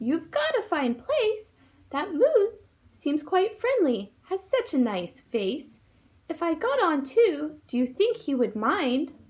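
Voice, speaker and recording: A woman's put-on character voice, squeaky and extremely high, with very wide pitch swings at a fairly slow pace. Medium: read story.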